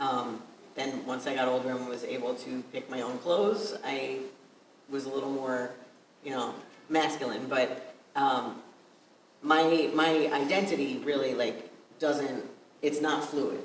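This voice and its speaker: A fairly high-pitched man with an American accent, fairly slow with long, frequent pauses and ordinary pitch variation, over noticeable background noise and audible room echo. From Long Island, New York. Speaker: panelist. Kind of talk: personal testimony. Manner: halting.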